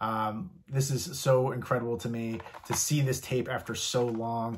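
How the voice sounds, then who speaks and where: A somewhat breathy man with an American accent, at a fairly slow pace with ordinary pitch variation, over light background noise. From US East Coast, partly Virginia. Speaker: YouTuber showing a movie and memorabilia collection. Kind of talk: casual collection show-and-tell vlog; casual vlog chat. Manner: casual with frequent fillers. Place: home room.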